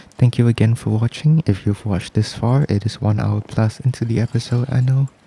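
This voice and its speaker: A soft-spoken man talks at a fairly quick pace with fairly even intonation and a dark, mellow tone. His voice is somewhat breathy, and the sound is dry and close with no echo. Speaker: gaming youtuber. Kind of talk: let's play commentary. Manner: soft-spoken ASMR style.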